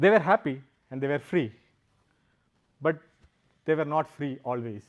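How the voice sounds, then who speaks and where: The speaker has a Keralan accent. The pace is moderate. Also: man, fairly high pitch for a man, ordinary pitch variation. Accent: Indian (Malayali). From South India, Kerala. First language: Malayalam. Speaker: software engineer and founder, speaker. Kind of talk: public talk. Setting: stage with audience.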